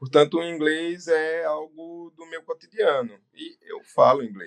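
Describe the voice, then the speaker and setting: Pitched high, a man speaks with ordinary pitch variation and big swings in loudness. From Brazil, Northeast. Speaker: business owner and doctor. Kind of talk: interview. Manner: hesitant fillers.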